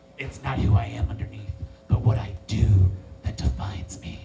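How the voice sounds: Putting on a character voice, the man talks at a moderate pace in a very deep, low register.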